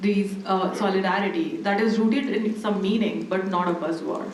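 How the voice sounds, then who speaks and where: A woman at a medium pitch, fairly even in intonation and moderate in pace, with audible room echo and noticeable background noise. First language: not English. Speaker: academic panelist. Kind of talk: panel discussion.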